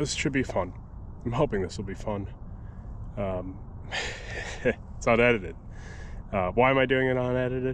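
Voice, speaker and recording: The voice moves at a moderate pace with ordinary pitch variation. Light background noise is present, and the sound is dry with no echo. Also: man. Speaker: fishing vlogger. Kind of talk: casual vlog chat. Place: waterside. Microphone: phone near.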